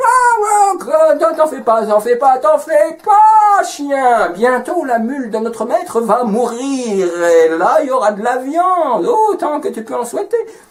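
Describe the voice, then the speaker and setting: Over light background noise, a man uses a put-on character voice at an extremely high pitch, moving fairly slowly with very wide pitch swings. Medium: read story. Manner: repetitive, reassuring.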